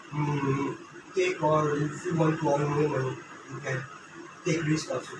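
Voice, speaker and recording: With audible room echo and loud background noise, a man speaks at a fairly high pitch in a monotone, flat intonation. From Bhutan. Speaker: student in mock interview. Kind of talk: mock job interview. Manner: halting. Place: office. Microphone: camera far.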